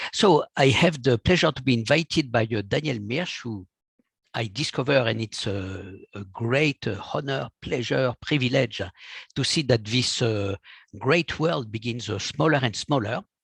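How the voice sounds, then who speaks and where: A man speaks with a French accent and a somewhat breathy voice. The sound is dry and close, with no echo. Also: medium pitch for a man, ordinary pitch variation, fairly slow pace. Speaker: physician. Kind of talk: lecture. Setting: video call.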